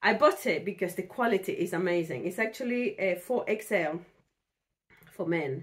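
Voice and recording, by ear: The delivery moves at a moderate pace with lively, varied intonation. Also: woman, fairly low pitch for a woman.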